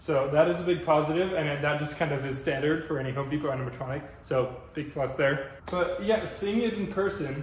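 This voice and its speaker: With audible room echo and light background noise, a man talks at a fairly quick pace with ordinary pitch variation. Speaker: product reviewer. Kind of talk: casual review talk. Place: garage. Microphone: camera far.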